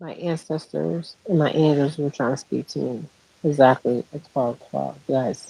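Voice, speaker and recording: A woman speaks quietly at a fairly slow pace in a very deep, low pitch, with big swings in loudness. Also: ordinary pitch variation. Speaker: spiritual healer. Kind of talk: spiritual monologue livestream. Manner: quiet, talking low; halting with fillers.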